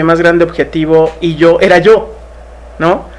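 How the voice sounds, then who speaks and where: With noticeable background noise behind him, a man talks fairly slowly in a high pitch with monotone, flat intonation. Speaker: actor and speaker. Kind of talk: podcast interview.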